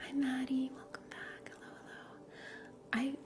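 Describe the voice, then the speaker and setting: Against noticeable background noise, a woman talks at a moderate pace in a relaxed tone. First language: Russian. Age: 30s. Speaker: livestreamer. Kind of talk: casual chat. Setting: livestream.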